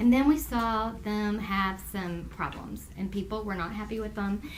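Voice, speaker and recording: In a room with audible echo, a woman talks at a moderate pace with a fairly high pitch. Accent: Texas. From US South. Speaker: Bible teacher. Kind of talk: Bible study lesson. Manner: conversational.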